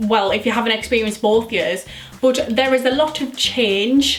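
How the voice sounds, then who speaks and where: Moderately paced speech with fairly even intonation and music in the background. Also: woman. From North-East England. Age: young. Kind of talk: casual talk to camera.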